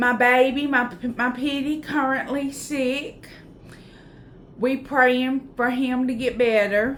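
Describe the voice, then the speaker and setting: A high-pitched woman speaks in a Southern US accent at a very slow pace with monotone, flat intonation. Audible room echo hangs around her voice. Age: 40s. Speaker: YouTuber, vlogger. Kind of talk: casual vlog chat. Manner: chatty, informal.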